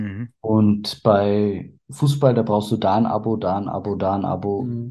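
A man with a fairly low pitch and a dark, mellow tone speaks with fairly even intonation. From Berlin, teens in Bavaria (Upper Palatinate). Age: 30s. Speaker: trading card collector. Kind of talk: casual chat.

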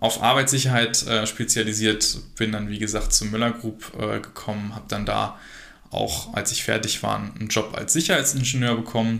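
With a bright, sharp tone and some vocal fry, a man speaks at a moderate pace and medium pitch with fairly even intonation. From Germany, Harsewinkel (Westphalia). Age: 20s. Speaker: workplace safety entrepreneur. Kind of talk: interview. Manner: hesitant, many fillers.

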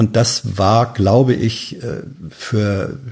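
In a quiet background, a man with a fairly low pitch speaks somewhat breathily, his intonation fairly even. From northern Germany, Hannover. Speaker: journalist, podcast guest. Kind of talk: casual chat. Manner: halting, many fillers.

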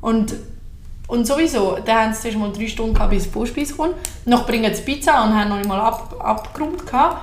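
A fairly high-pitched woman at a fairly quick pace with ordinary pitch variation, amid audible room echo and noticeable background noise. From Aargau, Switzerland. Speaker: podcast guest. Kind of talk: casual chat.

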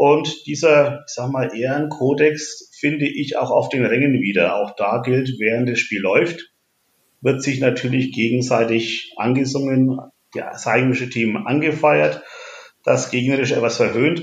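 With a southern German accent, a man talks in a somewhat breathy voice, and audible room echo surrounds him. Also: medium pitch for a man, fairly slow pace. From Franconia, Bavaria (Nuremberg). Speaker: ice hockey fan representative. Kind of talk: interview. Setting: at home.

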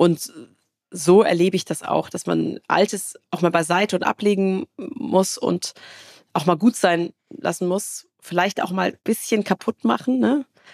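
A woman with vocal fry speaks at a fairly slow pace in a dry, close sound with no echo. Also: medium pitch for a woman. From Baden-Württemberg, Karlsruhe area. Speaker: tech entrepreneur. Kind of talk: interview. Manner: filler-heavy, repetitive.

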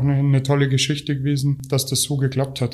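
A man's dark, mellow tone comes across in a very clean recording with a silent background. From Bulgaria, moved to Germany at nine. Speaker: youth football coach and IT administrator. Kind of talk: interview. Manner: hesitant, many fillers.

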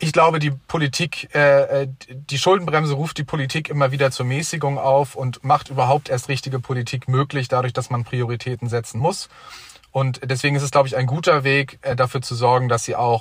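Fairly quick in pace, a man with an unremarkable speaking voice talks in a fairly high pitch with fairly even intonation. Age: 20s. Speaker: young member of parliament. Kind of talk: debate.

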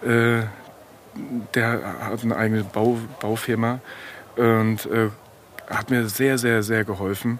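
Against noticeable background noise, a man with a medium-pitched voice talks very slowly in a flat monotone. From Frankfurt, Hesse. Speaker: kiosk owner. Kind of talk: casual chat.

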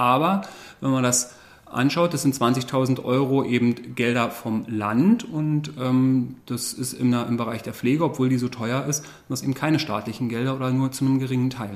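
This man talks at a moderate pace in a medium pitch with ordinary pitch variation and a normal speaking voice. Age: 40s. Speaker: pharmacist and school principal. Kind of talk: interview. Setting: staff break room at the school.

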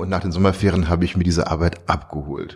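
A man rattles off his words at a very fast pace while noticeable background noise goes on around him. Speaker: visual artist. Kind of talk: interview.

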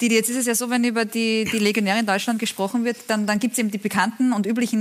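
A woman talks at a very fast pace with hardly any pauses. Her pitch is fairly high and her intonation fairly even. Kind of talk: studio talk show. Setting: TV studio.

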